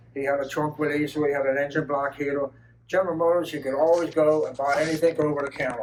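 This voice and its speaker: A man speaks at a very fast pace in a fairly high pitch and a monotone, flat intonation. Noticeable background noise sits behind him. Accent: American. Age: 70s. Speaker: retired auto assembly line worker. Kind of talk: storytelling talk to an audience. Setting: car show talk with audience.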